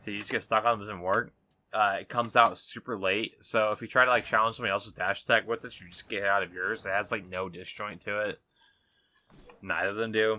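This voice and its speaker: A man speaks very fast at a fairly low pitch, his tone bright and sharp and his intonation monotone and flat. His loudness swings widely on a very clean recording with a silent background. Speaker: gaming content creator. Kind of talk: gameplay commentary tutorial. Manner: casual, filler-heavy.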